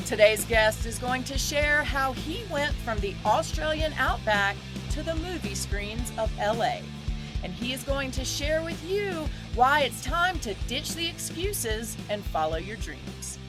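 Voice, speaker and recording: Music plays behind the voice. A woman speaks fairly slowly. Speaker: podcast host. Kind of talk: podcast interview host.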